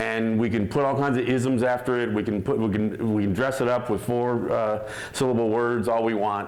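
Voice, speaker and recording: Audible room echo surrounds a man speaking at a moderate pace with an American accent. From Mohawk, Six Nations area, Western New York. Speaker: Native activist and radio host. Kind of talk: talk at a teach-in. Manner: loud; animated.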